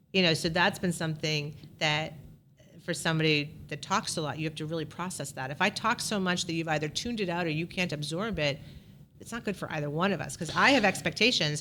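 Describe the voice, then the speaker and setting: A woman with a bright, sharp tone talks very fast at a fairly low pitch with ordinary pitch variation. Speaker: realtor and team leader. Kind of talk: casual interview chat.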